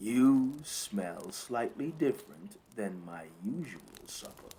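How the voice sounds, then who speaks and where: A put-on character voice from a man, medium in pitch with very wide pitch swings, at a fairly slow pace. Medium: read story. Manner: predatory, savoring, taunting.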